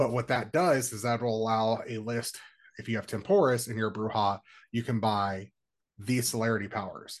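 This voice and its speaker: A man has a normal speaking voice at medium pitch. He talks at a moderate pace with fairly even intonation. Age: 30s. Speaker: roleplaying organization coordinator. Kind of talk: interview.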